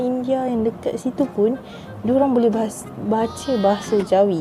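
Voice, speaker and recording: A woman's fairly high voice at a fairly slow pace, fairly even in intonation, over music in the background. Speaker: YouTuber teaching Malay dialect. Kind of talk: casual talk to camera.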